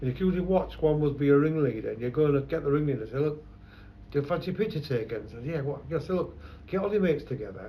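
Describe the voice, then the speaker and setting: Very fast and somewhat breathy, a man speaks with a fairly high pitch and lively intonation amid audible room echo. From London. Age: 70s. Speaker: photographer. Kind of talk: oral history interview. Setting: his shop.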